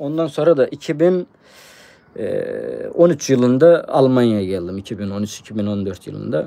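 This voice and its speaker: A man talks at a fairly slow pace, his tone dark and mellow. His pitch sits in the medium range for a man, with ordinary pitch variation. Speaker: treasure hunting YouTuber. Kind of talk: live stream chat. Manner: hesitant, many fillers.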